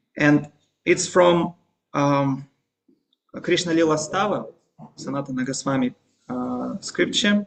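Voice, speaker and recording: A man talks at a fairly slow pace with long, frequent pauses. His pitch is fairly high, with ordinary pitch variation. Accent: Russian. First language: Russian. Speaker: religious teacher. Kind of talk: lecture. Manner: halting.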